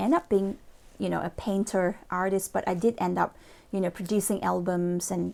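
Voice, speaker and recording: Recorded very cleanly against a silent background, the speaker has a Malaysian accent, a moderate pace and fairly even intonation. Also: woman. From Malaysia (Borneo). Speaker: motivational speaker and lawyer. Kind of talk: motivational talk to camera. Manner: hesitant, many fillers.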